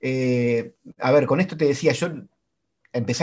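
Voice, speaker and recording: An ordinary speaking voice from a man at medium pitch, against a quiet background. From Argentina, small town in Santa Fe province. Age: 40s. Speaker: marathon runner and sports communicator. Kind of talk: casual interview chat.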